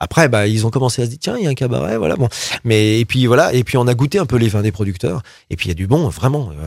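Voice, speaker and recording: Very fast and with lively intonation, a man rattles through his words. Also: medium pitch for a man. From France, Loire (Roanne area). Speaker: pop rock singer and cabaret owner. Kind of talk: interview.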